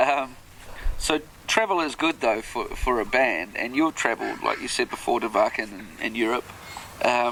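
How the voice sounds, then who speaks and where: A man with a New Zealand accent talks at a moderate pace. Background noise is noticeable. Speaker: podcast host. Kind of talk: interview.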